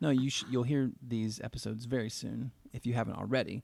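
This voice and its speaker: This man talks at a fairly quick pace, his pitch medium, in a plain, everyday voice. The recording is very clean with a silent background. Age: 40s. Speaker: podcast host. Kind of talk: casual chat.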